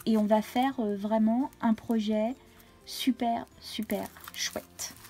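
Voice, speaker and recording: Over music in the background, a woman speaks with a fairly high pitch. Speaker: crafting YouTuber. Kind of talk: casual craft haul video. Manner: hesitant, many fillers.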